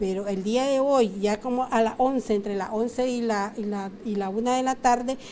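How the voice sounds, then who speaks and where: A woman with a normal speaking voice, fairly high in pitch and fairly even in intonation, at a fairly slow pace over light background noise. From Nicaragua. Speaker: consumer rights advisor. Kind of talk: TV interview. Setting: TV studio. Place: studio. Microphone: lapel.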